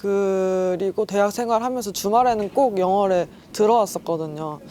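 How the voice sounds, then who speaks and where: A woman with a normal speaking voice talks at a moderate pace and a medium pitch, with ordinary pitch variation. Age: 20s. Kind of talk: interview answer.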